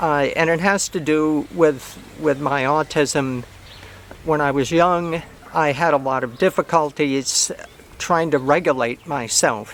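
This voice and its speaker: Noticeable background noise sits behind this recording. A man speaks fairly slowly at a fairly high pitch. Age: 70s. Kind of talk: casual talk to camera. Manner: halting, many fillers and repeats.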